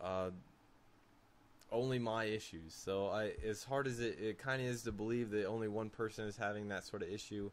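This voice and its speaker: With long, frequent pauses, a man talks at a moderate pace in a fairly low voice with fairly even intonation. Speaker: tech reviewer. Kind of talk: product demonstration. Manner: halting.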